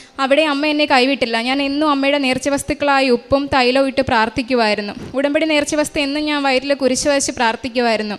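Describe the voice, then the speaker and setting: Noticeable background noise runs through the clip. The speaker's intonation is fairly even. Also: woman. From Kerala, Kollam district. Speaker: radiographer giving a church testimony. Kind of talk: testimony. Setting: church altar.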